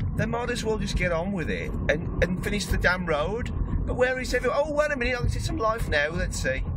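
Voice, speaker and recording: Over loud background noise, the voice moves at a fairly quick pace, with a dry sound and no echo. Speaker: vlogger driving and filming. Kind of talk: angry rant, sweary vlog. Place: car. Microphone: phone near.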